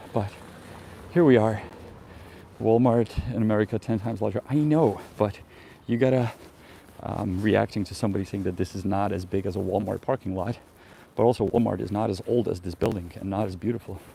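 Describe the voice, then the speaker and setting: A man with a Czech accent talks at a fairly quick pace and fairly low pitch, leaving long, frequent pauses. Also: ordinary pitch variation. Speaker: travel vlogger. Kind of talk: live stream walking tour. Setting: outdoors. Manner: casual, hesitant with fillers.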